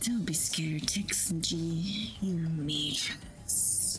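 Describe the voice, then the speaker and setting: A put-on character voice whispers at a very slow pace. Loud background noise fills the recording. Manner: reassuring but spooky.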